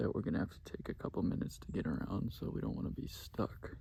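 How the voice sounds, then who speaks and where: Whispering, a man talks at a fairly quick pace. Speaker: motorcycle camping vlogger. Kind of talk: casual vlog chat. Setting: outdoors in the woods.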